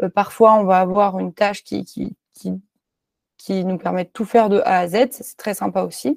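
Speaking at a moderate pace, a woman with a medium pitch keeps her intonation fairly even while her loudness swings widely. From France, Clermont-Ferrand. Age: 20s. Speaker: software developer. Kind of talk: interview. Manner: hesitant with many fillers and repetitions.

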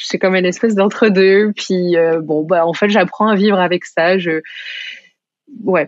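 This woman has an ordinary speaking voice at a medium pitch. She talks at a fairly slow pace with fairly even intonation. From France. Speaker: shop owner. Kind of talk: casual interview chat.

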